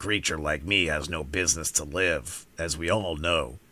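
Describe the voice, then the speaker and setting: A man's put-on character voice, very deep and low, raspy, at a moderate pace. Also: ordinary pitch variation. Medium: read story. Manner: polite, plainspoken.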